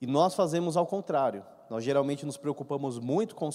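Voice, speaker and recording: Against a quiet background, a man with a fairly high pitch and a dark, mellow tone speaks at a moderate pace with lively intonation. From Brazil. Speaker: Bible study teacher. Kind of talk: Bible study lecture. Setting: church hall with microphone. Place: church. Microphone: handheld.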